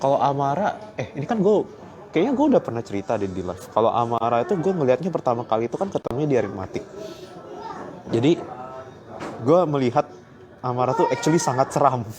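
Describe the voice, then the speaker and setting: Over music in the background, a man with a Surabaya accent talks very fast with very wide pitch swings and long, frequent pauses. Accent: sounds Surabaya-like. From Palembang, Indonesia. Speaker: livestreamer, quiz show contestant. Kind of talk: casual chat. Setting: airport.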